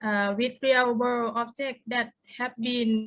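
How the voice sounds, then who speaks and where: Bright and sharp in tone, the voice moves at a very slow pace with monotone, flat intonation and a Thai accent. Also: woman. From Thailand. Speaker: artist, university teacher. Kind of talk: panel artist talk.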